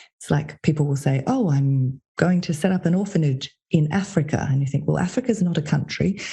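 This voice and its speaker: With an Australian accent, a woman talks at a fairly quick pace with hardly any pauses, her very deep, low voice dark, mellow and somewhat breathy, with ordinary pitch variation and very even loudness. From Australia, Sydney. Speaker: consultant and podcast host. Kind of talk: interview conversation.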